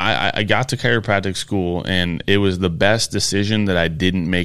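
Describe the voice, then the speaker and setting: Someone with a Michigan accent speaks with ordinary pitch variation. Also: man. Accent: Inland North American (Michigan). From US Midwest. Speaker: chiropractor. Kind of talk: casual chat. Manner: halting.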